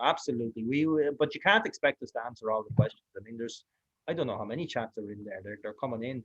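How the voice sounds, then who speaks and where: A man with an Irish accent, medium in pitch, speaking at a very fast pace with ordinary pitch variation and big swings in loudness. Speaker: online course host. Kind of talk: online class wrap-up.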